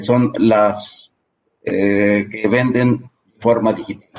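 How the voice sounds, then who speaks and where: This is a man with a Mexican accent. His pitch sits at a medium level. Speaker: tax accountant. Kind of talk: interview.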